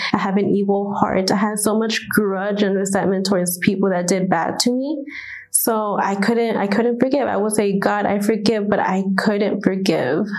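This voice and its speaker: Noticeable background noise and audible room echo fill this clip of a woman talking at a moderate pace. Her pitch is medium and her intonation fairly even. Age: 20s. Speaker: church member giving testimony. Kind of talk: testimony.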